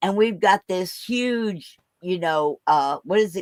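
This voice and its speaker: A woman speaks at a medium pitch with ordinary pitch variation, in an ordinary speaking voice. The sound is dry and close, with no echo. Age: 60s. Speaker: veterans event organizer. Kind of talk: casual chat.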